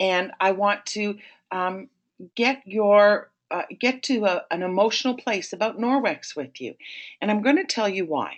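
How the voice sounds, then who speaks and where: In a Toronto accent, this speaker talks at a fairly slow pace with ordinary pitch variation. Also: woman, medium pitch for a woman. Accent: Canadian (Toronto, Ontario). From Canada, Toronto, Ontario. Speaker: sales trainer. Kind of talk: webinar presentation. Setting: online webinar.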